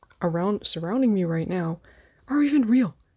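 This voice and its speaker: With an American accent, a woman speaks quietly at a moderate pace in a dark, mellow tone with ordinary pitch variation. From United States. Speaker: podcast host. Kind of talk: solo podcast monologue. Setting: filming on bed at night. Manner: quiet, keeping voice down.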